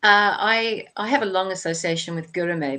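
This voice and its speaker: An Australian accent from a woman, ordinary pitch variation, quiet background. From Australia, Sydney. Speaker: author. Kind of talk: interview.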